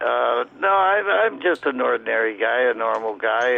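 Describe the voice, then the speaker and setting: Background music plays. A man talks at a fairly slow speed. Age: 80s+. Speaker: caller, war veteran. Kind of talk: casual phone chat. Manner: halting, repeats words.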